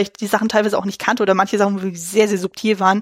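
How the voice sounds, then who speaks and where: Dry, close sound with no echo on a woman's voice. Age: 30s. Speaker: film podcast host. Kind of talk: casual chat.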